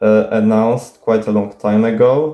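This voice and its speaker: A man speaks with a Polish accent in a medium pitch. His tone is dark and mellow, with fairly even intonation. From Poland. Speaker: YouTuber. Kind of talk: Q&A video monologue. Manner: halting, many fillers.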